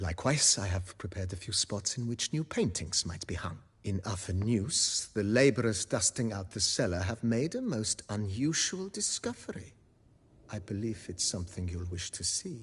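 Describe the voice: Using a put-on character voice with a husky, rough edge, a man moves at a moderate pace with big pitch swings. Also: fairly low pitch for a man.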